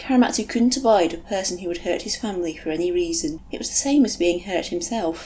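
The unforced reading voice has lively intonation.

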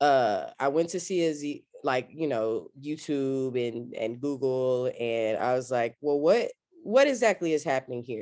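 The speaker has an American accent and a fairly slow pace. There are hardly any pauses. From Texas, East Austin. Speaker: theater director and artist. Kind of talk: casual interview.

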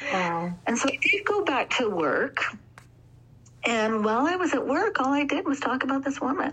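A high-pitched woman with a Canadian accent, very wide pitch swings, very even loudness and a moderate pace, over noticeable background noise. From Alberta, Canada. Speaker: sleep training consultant. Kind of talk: casual interview.

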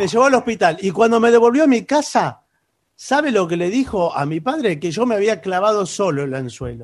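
At a fairly quick pace, a man with a high pitch makes very wide pitch swings against a quiet background. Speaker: radio co-host and comedian. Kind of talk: comedic radio banter. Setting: remote broadcast from home.

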